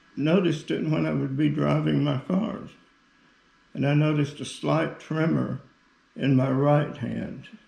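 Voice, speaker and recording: With long, frequent pauses, a man talks at a fairly slow pace amid audible room echo. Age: 80s+. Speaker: Parkinson's patient giving product testimonial. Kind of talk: testimony. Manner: halting, with frequent fillers.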